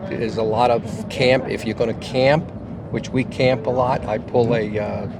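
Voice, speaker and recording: Amid noticeable background noise and audible room echo, a man talks with fairly even intonation. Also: medium pitch for a man, moderate pace. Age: 70s. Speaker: motorcyclist. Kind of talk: casual interview. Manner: halting.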